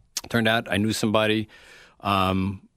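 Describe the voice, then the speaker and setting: A man speaks with an American accent. The recording is very clean with a silent background. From New York (Queens, Westchester). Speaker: retired radio station general manager. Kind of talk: interview. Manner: halting, many fillers.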